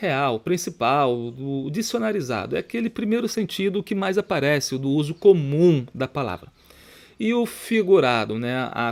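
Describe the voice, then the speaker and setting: The man's pitch moves across a very wide range. He keeps a moderate pace. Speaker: Portuguese grammar teacher for exam prep. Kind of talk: tutorial.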